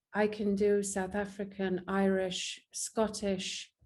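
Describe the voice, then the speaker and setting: Speaking with a strong English accent, a woman uses a medium pitch, a dark, mellow tone and monotone, flat intonation. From England. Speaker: actress and filmmaker. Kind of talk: interview.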